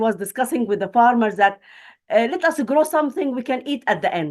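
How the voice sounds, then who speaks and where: A woman with a Palestinian accent speaks at a high pitch and a fairly quick pace with lively intonation. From Palestine. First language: Arabic. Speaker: academic and refugee. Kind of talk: webinar panel talk. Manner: halting.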